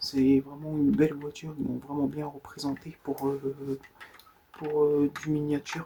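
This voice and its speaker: A soft-spoken man at a fairly high pitch, flat and monotone at a fairly slow pace, with noticeable background noise. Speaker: ASMR creator. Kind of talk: ASMR show-and-tell of collection.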